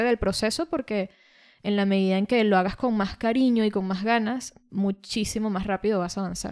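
A woman with a Venezuelan accent speaks with fairly even intonation. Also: very clean recording, silent background. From Venezuela, Caracas. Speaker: podcast co-host, language teacher. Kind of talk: casual chat. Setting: studio.

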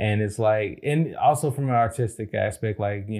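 The recording is very clean, with a silent background. A man speaks in a fairly low, somewhat breathy voice. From Chicago, South Side. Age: 30s. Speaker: podcast co-host. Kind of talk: casual chat.

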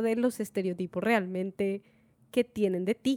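A woman with a Latin American accent speaks at a fairly slow pace in a dark, mellow tone. The sound is dry and close, with no echo. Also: very clean recording, silent background. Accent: own Latin American accent, proud of it. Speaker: podcast co-host. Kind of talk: casual chat. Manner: halting.

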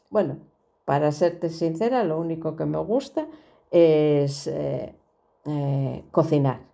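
A woman with a very deep, low pitch and a dark, mellow tone speaks very slowly, with ordinary pitch variation and long, frequent pauses. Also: big swings in loudness. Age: 60s. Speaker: podcast host and storyteller. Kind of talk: personal monologue. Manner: hesitant with frequent fillers.

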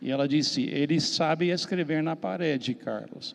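A fairly high-pitched man with an American accent and vocal fry speaks at a fairly slow pace with lively intonation. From US, Miami. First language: English (speaking Portuguese). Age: 70s. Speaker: missionary pastor. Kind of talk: panel discussion.

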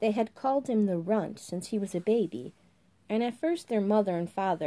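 This is plain reading aloud, and the pitch varies in an ordinary way.

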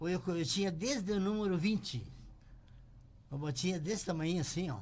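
Speaking with lively intonation, a man with a high voice comes through with audible room echo. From Rio Grande do Sul, Brazil. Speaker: shoemaker and business owner. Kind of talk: interview storytelling. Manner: halting, repeats words.

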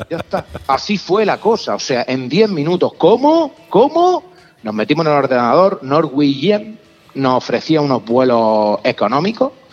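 A man speaks at a fairly slow pace with a fairly high pitch and very wide pitch swings, over noticeable background noise. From Catalonia, raised in Almería. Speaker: motorcycle traveller, tattoo artist. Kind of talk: casual chat, travel storytelling.

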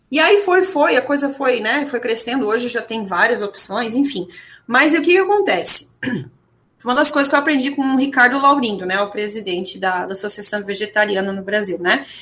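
A woman speaks at a moderate pace in a high voice with very wide pitch swings. Her tone is bright and sharp. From Santa Catarina, Brazil (German-heritage town). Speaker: English teacher and vegan activist. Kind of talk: casual radio interview. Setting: radio studio. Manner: halting, many fillers and repetitions.

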